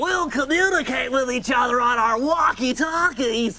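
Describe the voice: A shouted, high-pitched put-on character voice at a moderate pace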